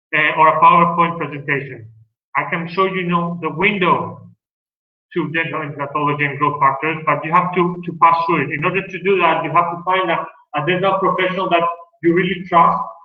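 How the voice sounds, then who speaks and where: A man talks in a high pitch with fairly even intonation. Audible room echo surrounds his voice. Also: fairly quick pace. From Greece. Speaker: dentist. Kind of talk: lecture.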